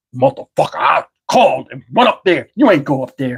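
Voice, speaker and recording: Putting on a character voice, a man speaks high with very wide pitch swings and big swings in loudness. His pace is fairly quick. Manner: angry, accusing.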